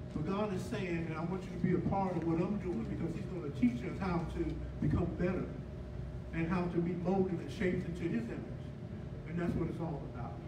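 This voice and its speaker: Loud background noise fills the clip. A man speaks over it at a fairly quick pace. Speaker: pastor. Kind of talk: church announcements, casual. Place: church.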